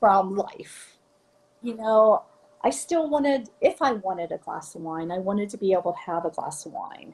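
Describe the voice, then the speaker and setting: A woman's somewhat breathy voice at medium pitch swings very widely in pitch at a moderate pace. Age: 60s. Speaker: fitness coaching client. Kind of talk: interview. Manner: halting.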